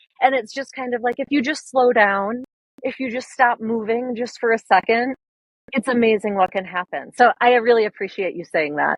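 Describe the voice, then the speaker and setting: A woman with a Minnesotan accent speaks at a moderate pace in a fairly high pitch, with ordinary pitch variation. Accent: Minnesota. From US Upper Midwest, northern Minnesota. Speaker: wildlife photographer. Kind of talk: podcast interview. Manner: casual, many fillers.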